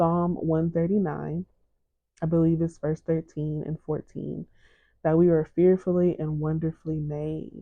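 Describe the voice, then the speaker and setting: A woman speaks with a very deep, low pitch. She is soft-spoken, with a soothing tone. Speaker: podcast host and licensed therapist. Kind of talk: motivational podcast monologue. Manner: soft-spoken, soothing.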